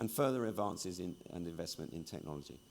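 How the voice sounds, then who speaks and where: Intonation is lively as a man talks. His pace is very fast. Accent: British. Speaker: industry journalist and conference speaker. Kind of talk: conference keynote talk.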